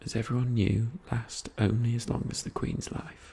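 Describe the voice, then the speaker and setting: Soft-spoken, a man talks at a moderate pace amid noticeable background noise. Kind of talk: non-fiction history book reading.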